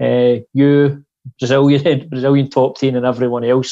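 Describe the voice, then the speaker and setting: A man speaks at a moderate pace with a Scottish accent, his medium-pitched voice flat and monotone against a quiet background. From Scotland. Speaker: podcast host. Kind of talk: interview. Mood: warm, grateful. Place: home room. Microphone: earbuds.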